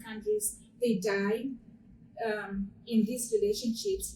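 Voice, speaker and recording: With an African accent, a woman talks in a fairly high pitch, her dark, mellow tone somewhat breathy. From Zimbabwe. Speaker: small business owner. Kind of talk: panel discussion. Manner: halting.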